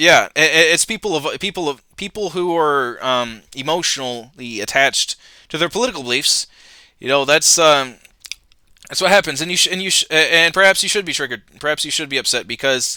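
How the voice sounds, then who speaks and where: A man talks at a very fast pace, his fairly high voice carrying a bright, sharp tone. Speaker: political commentary youtuber. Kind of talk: reaction video commentary. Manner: halting, many repetitions and filler words; casual, profane.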